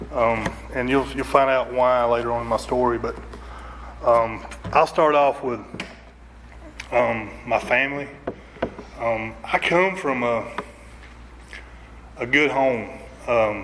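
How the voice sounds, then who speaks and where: The speaker has a strong Southern US accent and talks very slowly, with long, frequent pauses and fairly even intonation. Room echo is audible, and background noise is noticeable. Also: man, medium pitch for a man. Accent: strong Southern country. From North Georgia, US. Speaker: recovery speaker. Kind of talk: recovery testimony. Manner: halting, many fillers.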